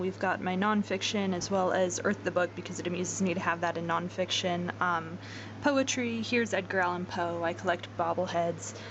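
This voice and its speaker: A woman at a medium pitch and a moderate pace. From Utah. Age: 20s. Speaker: college student vlogger. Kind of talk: casual vlog introduction. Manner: casual, with many filler words.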